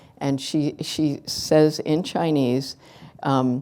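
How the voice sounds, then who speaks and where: A woman with an American accent speaks in a very deep, low pitch and a dark, mellow tone, recorded very cleanly against a silent background. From New Jersey, US. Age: 70s. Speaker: writer and activist. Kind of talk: conference fireside chat.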